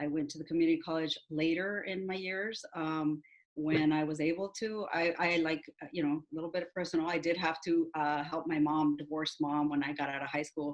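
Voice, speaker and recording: With a Spanish accent, a woman with a very deep, low pitch speaks at a fairly quick pace in monotone, flat intonation. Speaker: university staff member. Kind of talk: panel webinar talk. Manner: halting, many fillers.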